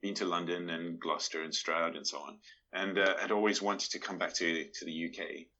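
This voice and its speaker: With a slight South African accent, a man speaks in a very deep, low pitch and fairly even intonation. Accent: South African, subtle. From Johannesburg, South Africa. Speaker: Tai Chi teacher and artist. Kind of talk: casual interview chat. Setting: video call.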